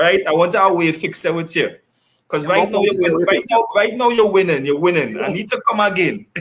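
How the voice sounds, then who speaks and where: A man speaks at a high pitch and a fairly quick pace. His pitch varies in an ordinary way. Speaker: sports talk show host. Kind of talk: online talk show hosting. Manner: fast.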